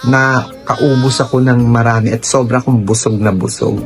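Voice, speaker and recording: A man speaks with music in the background. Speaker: vlogger. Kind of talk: casual vlog storytelling. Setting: hospital.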